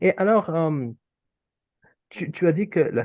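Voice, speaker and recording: Very slowly, a man speaks with an Urdu accent, recorded with dry, close sound with no echo against a quiet background. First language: Urdu (speaking French). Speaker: interviewer, association president. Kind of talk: interview. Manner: hesitant, many fillers.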